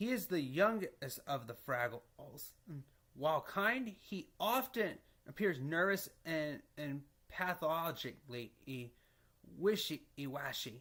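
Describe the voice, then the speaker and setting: Very slowly, a man talks in a fairly high, bright and sharp voice with very wide pitch swings, in a very clean recording with a silent background. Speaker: fan explaining a TV show. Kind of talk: reading explainer narration. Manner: stuttering.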